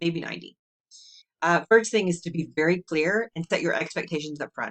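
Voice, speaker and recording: With a normal speaking voice, a woman talks at a moderate pace and a fairly low pitch, showing ordinary pitch variation in a dry, close sound with no echo. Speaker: human design coach. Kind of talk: solo video talk. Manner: casual.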